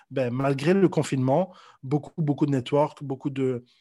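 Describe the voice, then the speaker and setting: A man with a fairly high pitch talks at a moderate pace in a dark, mellow, somewhat breathy tone, with ordinary pitch variation against a quiet background. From Belgium, Brussels. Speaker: sales coach. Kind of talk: casual interview. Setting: at home, remote interview. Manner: halting, many repetitions.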